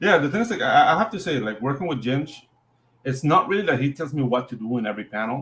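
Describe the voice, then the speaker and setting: This man, pitched fairly high, speaks very fast with a non-native accent and very wide pitch swings. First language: not English. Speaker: comic artist, co-host. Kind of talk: casual chat. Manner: halting.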